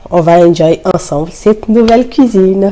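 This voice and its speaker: Noticeable background noise surrounds a woman speaking at a moderate pace with ordinary pitch variation. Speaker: vlogger. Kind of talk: casual vlog chat while cooking. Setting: home kitchen. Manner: articulating more carefully.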